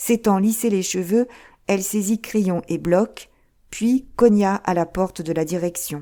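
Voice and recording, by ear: A natural read-aloud voice with ordinary pitch variation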